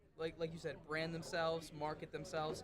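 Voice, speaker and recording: There is audible room echo on this recording. A man speaks at a fairly high pitch. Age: young. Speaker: pro wrestler. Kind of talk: interview.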